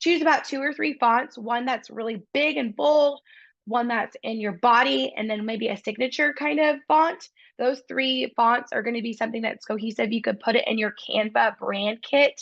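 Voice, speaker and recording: A woman's unremarkable speaking voice, fairly high in pitch, at a moderate pace with ordinary pitch variation against a quiet background. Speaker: real estate coach. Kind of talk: online training webinar.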